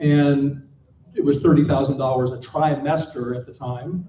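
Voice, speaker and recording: Against noticeable background noise, a man with an American accent speaks at a fairly high pitch and fairly even intonation. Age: 60s. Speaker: panel speaker, designer and entrepreneur. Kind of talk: conference panel talk. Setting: stage with live audience.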